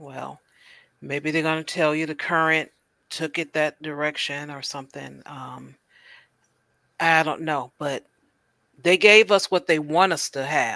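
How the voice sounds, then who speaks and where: This woman has a very deep, low pitch and a bright, sharp tone, with fairly even intonation. She talks at a fairly slow pace with long, frequent pauses and big swings in loudness, in a dry, close sound with no echo. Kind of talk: casual panel discussion. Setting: video call livestream.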